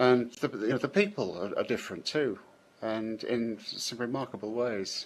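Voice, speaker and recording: In a British accent, a man talks at a medium pitch. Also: ordinary pitch variation, moderate pace. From Britain. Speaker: software programmer, scripter. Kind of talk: interview. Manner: hesitant, many fillers and restarts.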